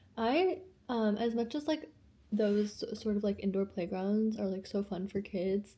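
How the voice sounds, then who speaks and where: This woman has a dark, mellow, somewhat breathy tone, with medium pitch, ordinary pitch variation and a moderate pace. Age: 30s. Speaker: lifestyle vlogger. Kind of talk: casual talk to camera. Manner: casual, rambling.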